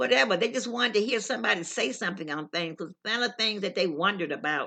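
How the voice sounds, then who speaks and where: Against a quiet background, a woman talks at a very fast pace and medium pitch, her tone bright and sharp and her intonation lively. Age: 80s+. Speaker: senior storyteller vlogger. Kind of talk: casual storytelling monologue. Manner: halting.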